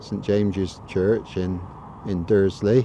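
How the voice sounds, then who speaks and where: A man speaks at a fairly slow pace with a Gloucestershire accent. His fairly low voice has a dark, mellow tone. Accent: southern English (Gloucestershire). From Gloucestershire, England. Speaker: local video blogger. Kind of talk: casual walking tour narration. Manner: hesitant, many fillers.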